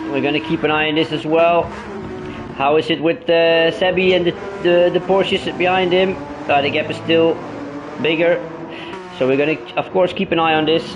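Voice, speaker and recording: Over music in the background, a man speaks in a high pitch at a moderate pace, leaving long, frequent pauses. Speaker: sim racing commentator and driver. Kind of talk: casual chat; live race commentary. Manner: stutters; animated.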